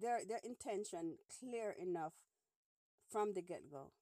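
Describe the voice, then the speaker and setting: A woman speaks at a fairly high pitch, her voice dry and close with no echo. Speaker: podcast host. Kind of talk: casual phone-in chat.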